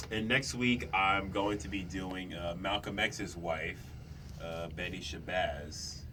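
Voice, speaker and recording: Over noticeable background noise and audible room echo, a man with a very deep, low voice talks at a very slow pace. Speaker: youth radio host. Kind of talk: casual chat.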